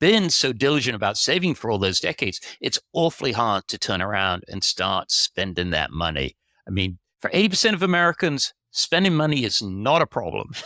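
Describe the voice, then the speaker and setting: Recorded very cleanly against a silent background, with a dry, close sound and no echo, a man at a medium pitch speaks at a moderate pace in a bright, sharp tone, with vocal fry and very wide pitch swings. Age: 60s. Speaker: personal finance writer and editor. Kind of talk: podcast interview.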